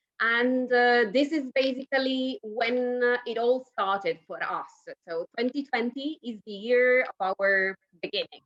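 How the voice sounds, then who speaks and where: A woman's high-pitched voice with ordinary pitch variation at a fairly slow pace, dry and close with no echo, over music in the background. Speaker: winery export director. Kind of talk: interview.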